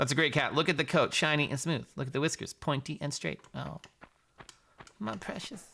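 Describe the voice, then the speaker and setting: A man's fairly high, bright and sharp voice with an American accent, animated in tone, with vocal fry, ordinary pitch variation and a fairly quick pace. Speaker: video game streamer. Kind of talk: live stream commentary. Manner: casual, animated.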